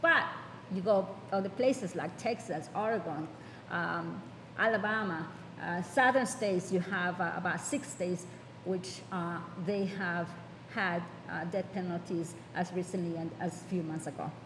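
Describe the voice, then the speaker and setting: Speaking with an American accent, a woman with a fairly low pitch keeps a moderate pace, ordinary pitch variation and long, frequent pauses, with audible room echo. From New York. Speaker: judge. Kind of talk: panel talk. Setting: conference panel. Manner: halting.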